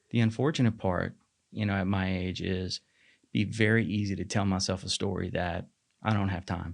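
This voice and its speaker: Over a quiet background, a man with an ordinary speaking voice talks at a moderate pace, his pitch fairly low and his intonation fairly even. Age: 40s. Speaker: marketing manager and fitness coach. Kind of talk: podcast interview.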